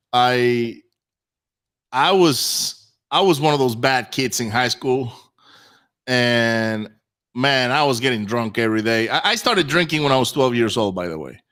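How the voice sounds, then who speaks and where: A man's medium-pitched voice with a Spanish accent, bright and sharp in tone, at a fairly slow pace with ordinary pitch variation and long, frequent pauses, in a very clean recording with a silent background. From Venezuela. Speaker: real estate investor. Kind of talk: interview. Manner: halting, many repeats and fillers.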